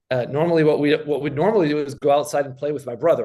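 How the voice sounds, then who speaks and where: A man talks at a very fast pace in a fairly high voice, with a quiet background. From Argentina, childhood in US and Switzerland. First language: Spanish. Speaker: science fiction writer. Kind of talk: interview conversation. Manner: halting, many repetitions.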